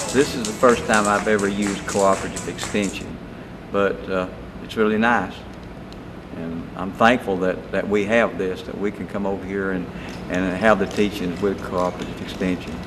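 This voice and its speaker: A man's fairly low-pitched, monotone, flat voice, with audible room echo and noticeable background noise. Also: moderate pace. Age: 70s. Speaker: clogging class participant. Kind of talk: testimonial interview.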